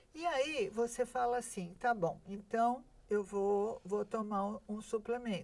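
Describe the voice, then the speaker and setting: A fairly high-pitched woman's voice at a very slow pace, with ordinary pitch variation. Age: 70s. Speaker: nutritionist. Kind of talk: interview. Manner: hesitant, many fillers.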